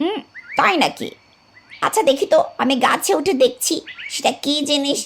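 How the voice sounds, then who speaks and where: A woman performs a cartoonish character voice. Her pitch is high and her pace moderate. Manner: cheerful, lively.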